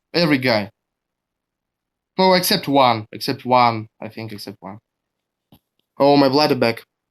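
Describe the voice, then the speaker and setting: With a strong Russian accent, a man of medium pitch speaks with lively intonation and long, frequent pauses. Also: moderate pace. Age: 20s. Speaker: deathmatch wrestler. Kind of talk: casual interview. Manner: halting.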